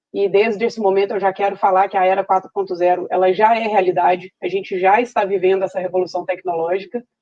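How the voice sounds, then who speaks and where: A woman speaks at a fairly quick pace with a Minas Gerais accent and monotone, flat intonation. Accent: Minas Gerais (mineiro) Portuguese. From Brazil, Minas Gerais (Belo Horizonte). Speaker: veterinarian and dairy farm manager, speaker. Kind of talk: online talk. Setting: virtual event stage.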